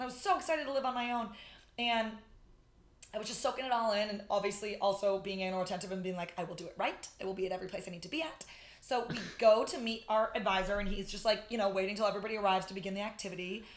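A loud woman's voice in an American accent, medium pitch, very fast pace and ordinary pitch variation. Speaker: podcaster and friend. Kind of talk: casual chat. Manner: very fast talker.

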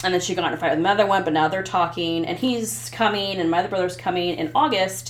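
A woman with a Midwestern American accent talks at a fairly quick pace and fairly low pitch, with lively intonation. Audible room echo and noticeable background noise surround her. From US Midwest (Ottumwa, southeast Iowa). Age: 40s. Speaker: podcast guest sharing personal story. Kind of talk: casual interview, personal testimony. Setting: host's basement.

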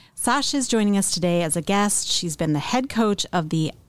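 A woman's ordinary speaking voice at medium pitch and moderate pace. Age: 50s. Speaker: podcast host. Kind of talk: casual chat; reading aloud.

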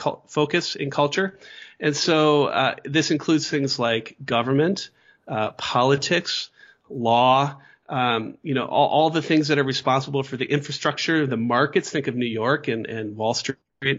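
A fairly high-pitched man with an American accent and ordinary pitch variation. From US Midwest. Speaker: philosophy professor. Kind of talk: interview.

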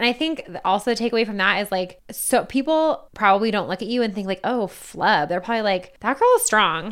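On a very clean recording with a silent background, a woman with a fairly high pitch and ordinary pitch variation talks at a very fast pace. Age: 20s. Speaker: podcast co-host, law student. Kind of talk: casual chat. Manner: chatty, overlapping banter.

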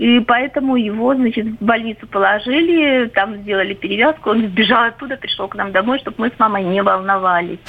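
In a plain, everyday voice, a woman talks with hardly any pauses, her fairly high pitch varying in an ordinary way. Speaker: caller. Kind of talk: personal story. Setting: phone call.

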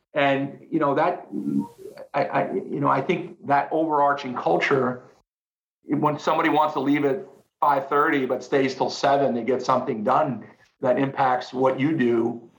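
A man talks at a moderate pace with ordinary pitch variation and very even loudness. Room echo is audible. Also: fairly high pitch for a man. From United States. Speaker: company founder and sales executive. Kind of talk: interview conversation. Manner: halting, many repeated words.

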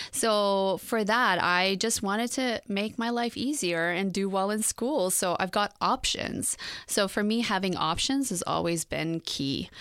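A woman with an unremarkable speaking voice talks at a fairly slow pace and medium pitch, with ordinary pitch variation and very even loudness. She leaves hardly any pauses, on a very clean recording with a silent background. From Iran and England, moved to Canada at sixteen. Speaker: fashion designer. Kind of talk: interview. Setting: studio.

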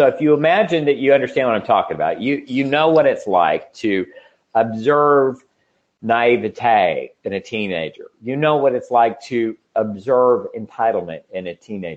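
Lively intonation runs through a plain, everyday voice that moves at a moderate pace. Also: man, medium pitch for a man. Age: 50s. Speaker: podcast host and business educator. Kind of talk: interview and lecture.

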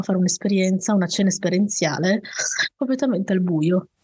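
A woman is speaking. Her tone is dark and mellow, and somewhat breathy. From Piedmont, Italy (valley near Turin). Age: 30s. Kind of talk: interview storytelling.

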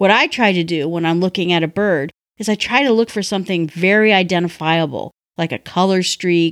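A woman's normal speaking voice with an American accent, fairly low in pitch, at a moderate pace on a very clean recording with a silent background. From North Woods region, US upper Midwest. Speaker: listener contributor. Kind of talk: recorded review.

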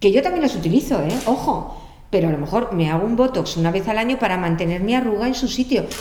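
A woman's medium-pitched voice with lively intonation at a very fast pace, with audible room echo and noticeable background noise. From Spain. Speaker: makeup artist. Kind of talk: casual interview chat.

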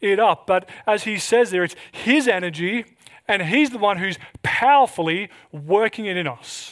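In an Australian accent, a man speaks at a fairly slow pace with a high pitch. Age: 30s. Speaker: pastor. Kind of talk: sermon.

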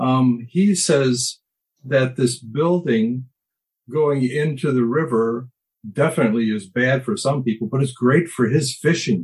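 At a fairly slow pace, a man speaks in a somewhat breathy voice at a medium pitch with ordinary pitch variation. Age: 70s. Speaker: recovery group participant. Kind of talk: casual group discussion.

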